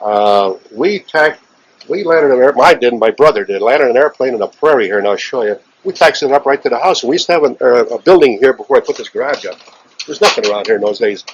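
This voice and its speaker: Very fast, lively male speech in an American accent, fairly high in pitch for a man. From Chicago. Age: 70s. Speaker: aviation veteran. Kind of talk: interview. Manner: halting.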